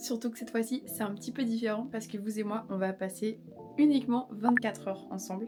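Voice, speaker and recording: A woman's voice over music in the background. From Belgium (Brussels). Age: 20s. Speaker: vlogger. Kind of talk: casual talk to camera. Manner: upbeat.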